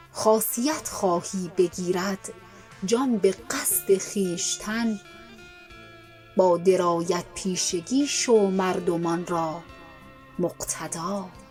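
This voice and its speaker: Over music in the background, the voice moves at a very slow pace in a calm, soothing tone. Its pitch varies in an ordinary way, with long, frequent pauses. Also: woman, medium pitch for a woman. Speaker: poetry reciter. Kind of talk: poetry reading.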